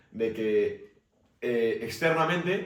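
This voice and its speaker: A man talks in a room with audible echo. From Basque Country, Spain. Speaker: podcast co-host. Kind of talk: casual debate.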